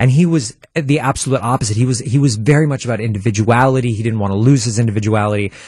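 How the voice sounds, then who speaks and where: A somewhat breathy man with an American accent speaks at a very fast pace with hardly any pauses, at a medium pitch with ordinary pitch variation. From Milwaukee, Wisconsin. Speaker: stage actor and composer. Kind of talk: casual interview. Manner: halting, many false starts.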